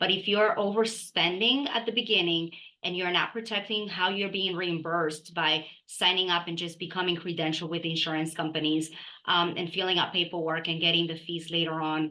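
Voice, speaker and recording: Her tone is bright and sharp, set at a fairly low pitch. The woman talks at a fairly quick pace. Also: fairly even intonation. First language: not English. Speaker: dental practice consultant. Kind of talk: podcast interview.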